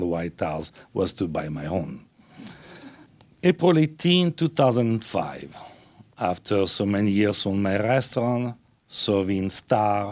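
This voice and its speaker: Speaking at a fairly slow pace, a man uses a fairly low pitch and lively intonation. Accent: Italian. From Italy. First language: Italian. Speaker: restaurateur and philanthropist. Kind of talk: speech to an audience. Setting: stage with audience.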